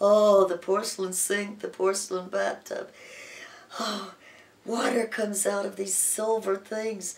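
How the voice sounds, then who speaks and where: A woman speaks at medium pitch. There is noticeable background noise. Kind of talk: personal anecdote told to camera. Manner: animated, playful.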